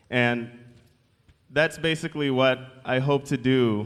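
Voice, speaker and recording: A man with an American accent speaks in an ordinary speaking voice, his pitch medium and his intonation fairly even. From Michigan, US. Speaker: seminary student. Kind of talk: church address. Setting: church.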